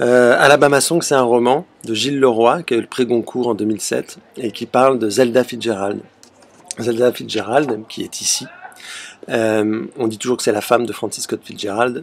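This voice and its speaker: A man speaks at medium pitch with fairly even intonation. Noticeable background noise runs underneath. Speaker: theatre director. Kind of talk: video self-presentation. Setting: outdoors on a terrace. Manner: fast.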